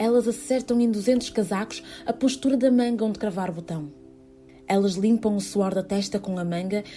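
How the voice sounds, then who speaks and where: Music plays in the background as a woman speaks at a moderate pace. Her voice is medium in pitch, with ordinary pitch variation. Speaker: theatre performer reading a literary text. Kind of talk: literary text reading, whispered theatre piece. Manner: whispered, intimate.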